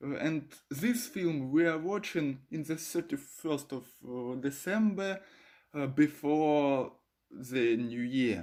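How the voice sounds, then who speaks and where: The pace is very slow. The speaker has a Russian accent. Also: very clean recording, silent background. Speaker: video blogger. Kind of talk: casual explainer video. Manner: halting, many fillers.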